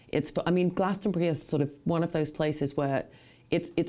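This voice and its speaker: In an English accent, a woman speaks with a very deep, low pitch and a dark, mellow tone on a very clean recording with a silent background. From England, northwest London. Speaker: actress and playwright. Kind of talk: interview. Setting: webcast.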